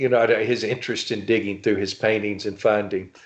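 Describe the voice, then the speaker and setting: A man speaks with a Louisiana accent. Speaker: novelist and writing instructor. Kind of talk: casual interview chat. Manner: halting, many fillers.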